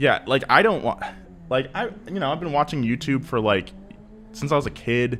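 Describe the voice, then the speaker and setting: A man with an American accent speaks at a moderate pace and fairly high pitch, his intonation lively against noticeable background noise. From California, US. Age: 20s. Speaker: automotive YouTube presenter. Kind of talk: podcast interview. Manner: casual, lots of filler words.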